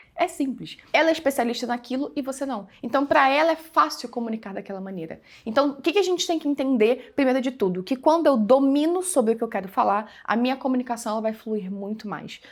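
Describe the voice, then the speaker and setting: Lively intonation and a fairly quick pace with hardly any pauses come through on a very clean recording with a silent background. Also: woman, high pitch for a woman. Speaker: digital business mentor. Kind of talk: tutorial. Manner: casual, conversational.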